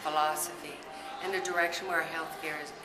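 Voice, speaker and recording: A woman's fairly low, monotone, flat voice with audible room echo and noticeable background noise. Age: 60s. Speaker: chiropractor. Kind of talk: testimony. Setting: interview at a conference event.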